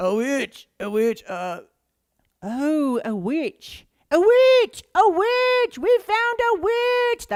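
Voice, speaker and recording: A put-on character voice, extremely high in pitch, at a very slow pace. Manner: excited, shouting.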